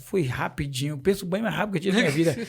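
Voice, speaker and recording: At a very fast pace, a man talks with a high pitch and ordinary pitch variation. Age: 40s. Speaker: missionary and church deacon. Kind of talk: testimony.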